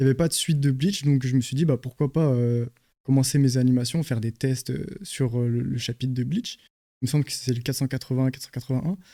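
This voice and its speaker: A man's dark, mellow, medium-pitched voice at a fairly quick pace, with fairly even intonation. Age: 20s. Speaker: anime animator. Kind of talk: talk show interview.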